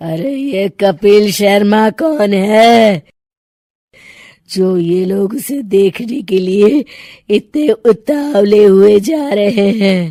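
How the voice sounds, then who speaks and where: A woman's cartoonish character voice, medium in pitch, cackling at a very slow pace. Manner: cackling, menacing.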